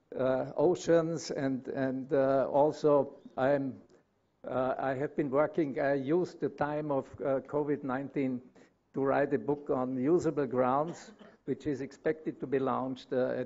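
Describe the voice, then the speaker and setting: Speaking with a German accent, a man uses a fairly high pitch and fairly even intonation at a fairly slow pace. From Austria. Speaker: consulting engineer. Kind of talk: conference presentation. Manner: halting, many fillers.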